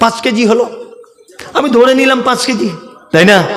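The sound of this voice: A man with a fairly bright tone and ordinary pitch variation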